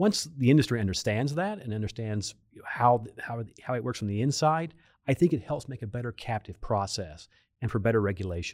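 This is a normal speaking voice, a man with an American accent and medium pitch talking at a fairly quick pace with lively intonation. The recording is very clean, with a silent background. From Oklahoma, Pawnee County. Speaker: insurance regulator. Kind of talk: interview. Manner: formal.

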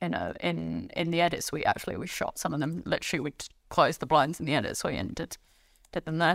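A woman with a fairly low pitch and vocal fry speaks at a fairly quick pace in a very clean recording, the background silent and the sound dry and close with no echo. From half French, family in France. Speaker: TV writer-director and showrunner. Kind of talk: casual interview chat.

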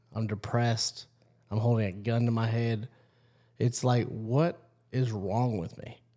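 A man's dark, mellow voice with fairly even intonation. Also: long, frequent pauses. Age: 30s. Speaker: podcast host. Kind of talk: casual interview chat.

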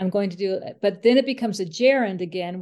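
A woman talks at a fairly quick pace in a medium pitch. She has a plain, everyday voice. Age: middle-aged. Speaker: podcast co-host, author and blogger. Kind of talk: casual chat.

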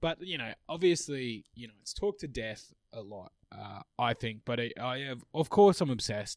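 A medium-pitched man with an Australian accent, lively intonation, big swings in loudness and hardly any pauses, in a dry, close sound with no echo. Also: moderate pace, very clean recording, silent background. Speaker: podcast co-host. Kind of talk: casual chat.

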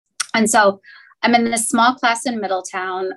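A woman with an American accent and an unremarkable speaking voice talks at a fairly quick pace and a medium pitch. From US Midwest, Cincinnati. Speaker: banking executive. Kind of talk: interview.

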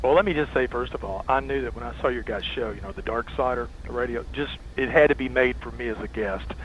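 A man with a Tennessee accent talks very fast with hardly any pauses, his fairly low pitch swinging very widely. Noticeable background noise runs underneath. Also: big swings in loudness. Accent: Southern US (Tennessee). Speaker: rock and roll historian and author. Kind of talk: casual interview chat.

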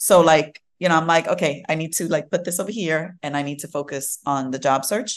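Over a quiet background, a woman with a New York accent speaks at a fairly quick pace in a very deep, low pitch. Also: ordinary pitch variation, hardly any pauses. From Brooklyn, New York. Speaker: tech diversity and inclusion leader. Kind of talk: interview. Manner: casual, filler-heavy.

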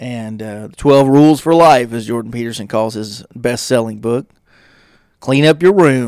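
A man with a plain, everyday voice speaks at a medium pitch and a moderate pace, with ordinary pitch variation. The recording is very clean with a silent background, though his loudness swings widely. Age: 30s. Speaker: podcast host. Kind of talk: solo monologue podcast. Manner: casual, conversational with fillers.

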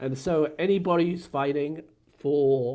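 A very slow delivery in an English accent, ordinary pitch variation, and a very clean recording with a silent background. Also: man. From England. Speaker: search and rescue family liaison officer. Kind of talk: casual chat.

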